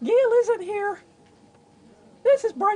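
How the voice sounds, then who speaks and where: This is a put-on character voice, squeaky and extremely high in pitch. The pitch sits at the very top of the range. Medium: comedy sketch. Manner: formal phone politeness.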